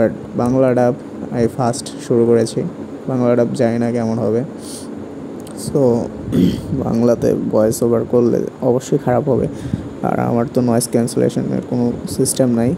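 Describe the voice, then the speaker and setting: Very even loudness and fairly even intonation, with noticeable background noise. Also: man, medium pitch for a man. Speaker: anime YouTuber. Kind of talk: casual talk to camera. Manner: chatty, informal.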